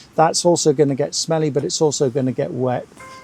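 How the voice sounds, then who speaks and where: With music in the background, a man speaks at a moderate pace in a fairly high pitch. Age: 60s. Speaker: presenter at a prepper meet. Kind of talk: presentation. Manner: casual, hesitant with many fillers.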